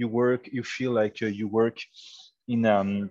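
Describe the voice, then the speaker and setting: A man speaks with a French accent. The sound is dry and close with no echo, over a quiet background. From France. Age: 40s. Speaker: startup founder. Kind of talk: interview.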